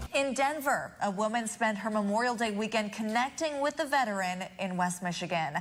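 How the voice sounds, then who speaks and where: With an American accent, a woman speaks in a fairly high, somewhat breathy voice. Her intonation is lively and her pace moderate. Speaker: television news anchor and reporter. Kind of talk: TV news anchor delivery.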